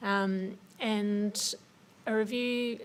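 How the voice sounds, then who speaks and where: Here is a woman with an Australian accent. Her pitch is medium. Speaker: government policy officer. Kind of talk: presentation at a forum. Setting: forum with audience. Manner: hesitant, many fillers.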